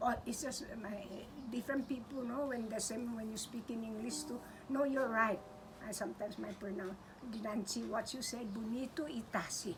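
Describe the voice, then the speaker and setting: With a Guam accent, a woman speaks at a moderate pace and a fairly high pitch over noticeable background noise. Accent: Chamorro. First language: Chamorro. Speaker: language teacher. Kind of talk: language lesson. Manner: animated.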